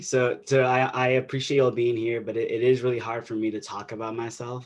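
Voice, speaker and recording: A man is speaking here. His pitch is medium and his pace moderate. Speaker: invited speaker, activist. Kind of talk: webinar talk. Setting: video call webinar with interpreter. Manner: halting, many repetitions.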